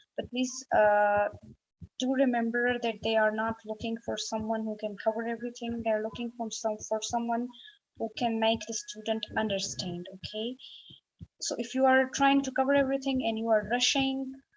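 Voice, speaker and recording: In an ordinary speaking voice, a woman talks at a fairly high pitch and moderate pace. Her intonation is fairly even. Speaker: medical exam tutor. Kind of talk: tutorial.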